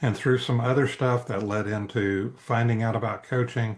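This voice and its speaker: A man talks at a moderate pace and medium pitch, somewhat breathy, with monotone, flat intonation. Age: 70s. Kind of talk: interview. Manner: hesitant, many fillers.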